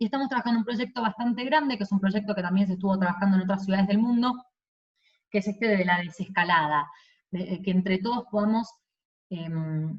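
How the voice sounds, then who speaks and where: At a fairly quick pace, a woman speaks with a medium, somewhat breathy voice and ordinary pitch variation. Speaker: city government director. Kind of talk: virtual presentation. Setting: video call. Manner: fast.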